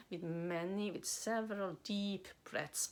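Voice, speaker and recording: A woman of medium pitch speaks at a fairly slow pace in a very clean recording with a silent background. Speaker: spiritual channeler and coach. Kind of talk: spiritual talk to camera. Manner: halting, many fillers.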